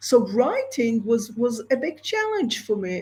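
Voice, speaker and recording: The speaker has an Israeli accent. The pace is fairly slow. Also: woman. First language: Hebrew. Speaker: entrepreneur and screenwriter. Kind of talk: interview.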